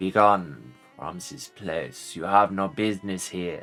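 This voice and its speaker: Faint music plays behind a put-on character voice delivered at a fairly slow pace. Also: man, very deep, low pitch for a man. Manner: menacing, commanding.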